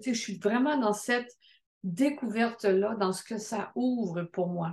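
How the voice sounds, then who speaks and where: A woman's fairly high, somewhat breathy voice at a very slow pace, with ordinary pitch variation. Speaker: midwife. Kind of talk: testimony.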